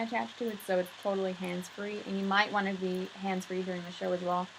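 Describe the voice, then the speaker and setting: Against noticeable background noise, a woman speaks very fast at medium pitch. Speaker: video host. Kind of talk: casual chat.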